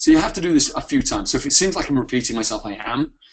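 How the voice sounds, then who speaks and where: A man with a British accent talks at a very fast pace. His intonation is lively. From UK. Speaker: software founder presenting a product. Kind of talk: webinar product demo. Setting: live webinar. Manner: hesitant with many fillers.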